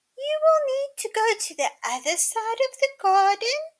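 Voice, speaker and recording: A woman does a squeaky put-on character voice with very wide pitch swings. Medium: read story. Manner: sweet and polite.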